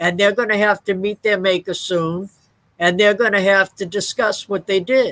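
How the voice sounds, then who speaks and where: A woman with an ordinary speaking voice talks at a moderate pace and medium pitch, her intonation fairly even and the sound dry and close with no echo. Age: 60s. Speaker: chaplain, co-host. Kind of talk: personal testimony in a discussion. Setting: online broadcast.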